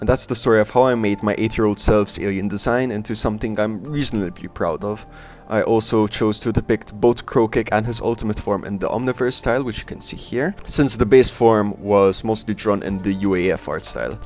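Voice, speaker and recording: A man with a non-native accent speaks at a fairly quick pace in a fairly low pitch, with hardly any pauses and music in the background. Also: fairly even intonation. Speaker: art and cartoon video creator. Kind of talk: casual narration over drawing video. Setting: home recording, poor audio.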